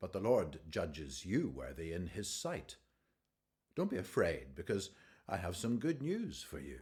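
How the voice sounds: A man puts on a character voice, low in pitch with very wide pitch swings and a slightly mellow tone. He goes at a fairly slow pace in a very clean recording with a silent background.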